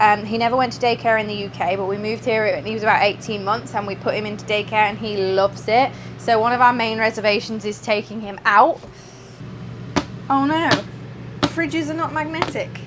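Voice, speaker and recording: A woman with an English accent talks at a fairly quick pace with fairly high pitch. Her pitch varies in an ordinary way over noticeable background noise. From England. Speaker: vlogger. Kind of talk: casual vlog. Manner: chatty.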